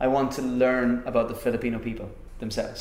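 Noticeable background noise sits behind a man's voice. He speaks at a moderate pace and a medium pitch. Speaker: podcast host. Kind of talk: casual interview chat. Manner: animated, enthusiastic.

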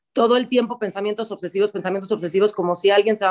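A woman rattles along at a very fast pace, medium in pitch, in a flat monotone. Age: 30s. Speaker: singer and stage actor. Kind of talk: interview.

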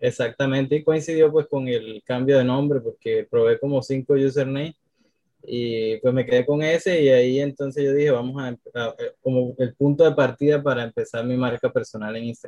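A man's fairly high, dark and mellow voice, dry and close with no echo. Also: fairly even intonation, moderate pace. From Colombia, Cartagena (Caribbean coast). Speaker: social media strategist. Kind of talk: interview.

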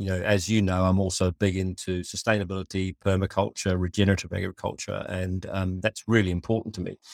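A man's very deep, low voice with a New Zealand accent at a fairly quick pace, on a very clean recording with a silent background. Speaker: company founder and CEO. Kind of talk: interview conversation. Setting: office.

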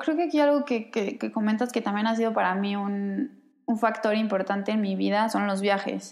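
Speaking at a moderate pace, a woman with a Mexican accent has a fairly high pitch. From Mexico. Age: 20s. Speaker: podcast creator and communicator. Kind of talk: casual chat.

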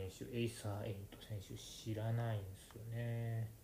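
Somewhat breathy and dark, mellow in tone, a man's medium-pitched voice moves at a fairly slow pace with audible room echo. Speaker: podcast host, wrestling fan. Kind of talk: casual solo monologue. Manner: soft-spoken.

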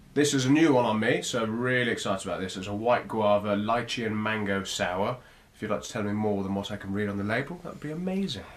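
Talking at a very fast pace with ordinary pitch variation, a man is heard over noticeable background noise and audible room echo. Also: fairly low pitch for a man. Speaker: podcast host. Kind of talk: casual chat. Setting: sharing one microphone.

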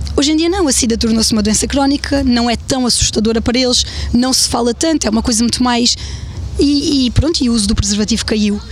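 With noticeable background noise behind her, a woman talks at a very fast pace in a high voice, keeping her loudness very even and her pitch variation ordinary. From Alentejo, Portugal (Évora). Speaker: blogger and mother. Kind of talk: casual interview. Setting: outdoor rooftop terrace.

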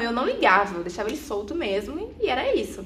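Fairly quick female speech with audible room echo and noticeable noise in the background. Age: 20s. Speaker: psychology student and corporate employee. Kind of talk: personal testimony. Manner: halting.

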